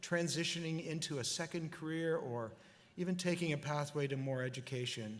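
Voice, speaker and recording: At a moderate pace, a man with a fairly high pitch and ordinary pitch variation talks in an ordinary speaking voice. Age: 60s. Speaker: convocation speaker. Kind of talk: commencement address. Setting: graduation ceremony.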